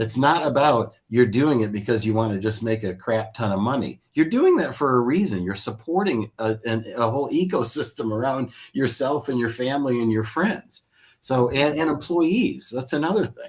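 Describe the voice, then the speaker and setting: Using a normal speaking voice, the speaker keeps a moderate pace and ordinary pitch variation. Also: man, medium pitch for a man. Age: 60s. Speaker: software company founder. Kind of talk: business advice interview. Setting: live stream.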